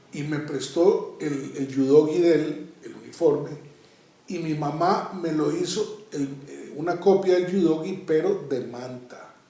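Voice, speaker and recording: A man talks at a very slow pace. His pitch is fairly high, and there is audible room echo. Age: 60s. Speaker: karate master. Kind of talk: interview, reminiscing. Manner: halting, with fillers.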